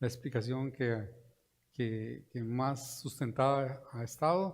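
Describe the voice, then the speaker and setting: A plain, everyday voice. The intonation stays fairly even. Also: man. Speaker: economist, invited speaker. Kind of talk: lecture. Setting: conference room with live and virtual audience.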